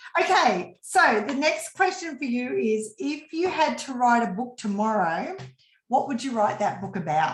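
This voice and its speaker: There is audible room echo as a woman with an Australian accent talks at a moderate pace, her high pitch swinging very widely. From Australia, rural western New South Wales. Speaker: business coach. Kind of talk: casual interview.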